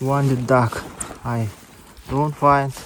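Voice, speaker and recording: Very slow and monotone, a man with a strong Yakutia accent speaks at medium pitch with flat intonation. Noticeable background noise is present. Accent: strong Yakut accent in English. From Yakutia, North-Eastern Siberia, Russia. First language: Yakut (Sakha). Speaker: hunter. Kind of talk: casual talk to camera. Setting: outdoors.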